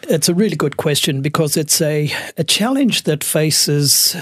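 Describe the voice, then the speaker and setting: An Australian accent at a moderate pace, dry, close sound with no echo, noticeable background noise. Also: man. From Australia, Melbourne (Brighton, Sandringham). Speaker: architect. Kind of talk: interview.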